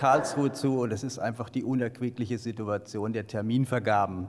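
Delivery is at a fairly quick pace with fairly even intonation. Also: man. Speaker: local councillor. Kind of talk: council speech. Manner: formal. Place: meeting room. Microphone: podium.

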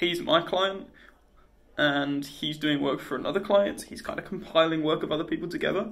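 At a fairly quick pace, a man speaks. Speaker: freelancer vlogger. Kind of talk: casual vlog chat. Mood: deflated, a bit frustrated. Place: office. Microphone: phone near.

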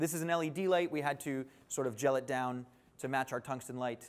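A man speaks, his pitch showing ordinary variation. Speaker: show host demonstrating camera. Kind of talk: live show presentation. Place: studio. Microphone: lapel.

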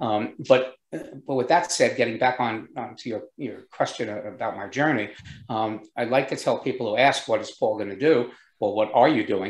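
A man with an American accent speaks at a moderate pace with ordinary pitch variation and big swings in loudness. There is audible room echo against a quiet background. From US Northeast, New York State. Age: 70s. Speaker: entrepreneur. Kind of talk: interview. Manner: uses many filler words. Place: office. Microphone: video call.

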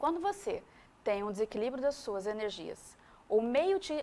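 With very wide pitch swings, a woman speaks in a high voice. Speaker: guest. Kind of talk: interview answer. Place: studio. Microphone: lapel.

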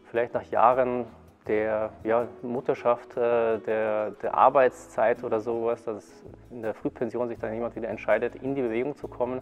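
A man's voice over faint background music. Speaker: qigong teacher. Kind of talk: interview answer. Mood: calm, friendly. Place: hall.

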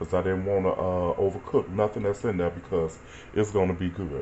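Over light background noise, a man with a fairly low pitch speaks at a fairly quick pace. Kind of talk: casual cooking tutorial. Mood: relaxed, amused. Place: kitchen. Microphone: phone near.

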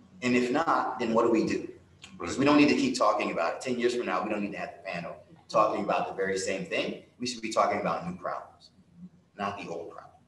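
Talking very fast with an American accent, a man swings widely in loudness amid audible room echo and light background noise. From Central Florida. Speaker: foundation executive; panelist. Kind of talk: panel discussion. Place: stage.

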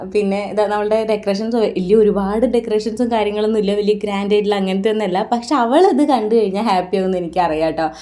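Over noticeable background noise, a woman talks in a medium pitch with ordinary pitch variation. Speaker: vlogger. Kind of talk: vlog narration. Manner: casual, chatty.

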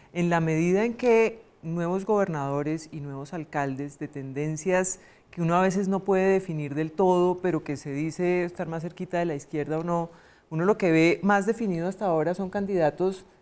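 With a dark, mellow tone, a woman speaks at a fairly low pitch with ordinary pitch variation. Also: moderate pace. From Colombia. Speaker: constitutional lawyer and political analyst; constitutional lawyer, political analyst. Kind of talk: panel discussion. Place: studio. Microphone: lapel.

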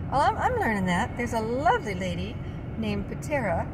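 A woman with an American accent talks at a very fast pace against loud background noise. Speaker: vlogger. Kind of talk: casual monologue. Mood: opinionated, earnest. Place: car. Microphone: phone near.

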